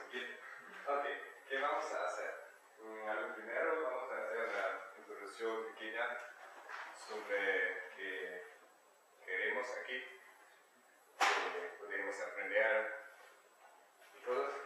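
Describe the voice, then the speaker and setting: A man with a German accent speaks at a very slow pace, leaving long, frequent pauses. There is audible echo in the room. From eastern Germany. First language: German (speaking Spanish). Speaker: exchange student presenter. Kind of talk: talk to an audience. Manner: halting, hesitant.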